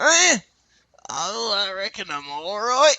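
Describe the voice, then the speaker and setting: A man puts on a character voice at a high pitch, with very wide pitch swings. He delivers it at a fairly slow pace. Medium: comedy sketch. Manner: grumbling, folksy.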